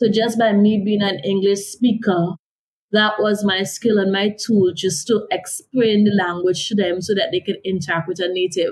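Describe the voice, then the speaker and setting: A somewhat breathy woman's voice with a Caribbean accent, medium in pitch, at a moderate pace with fairly even intonation. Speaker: author and development consultant. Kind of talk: interview.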